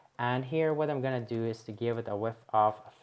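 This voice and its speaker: Over a quiet background, a woman talks at a very deep, low pitch with ordinary pitch variation. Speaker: web development tutorial creator. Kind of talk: coding tutorial. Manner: quiet, talking low.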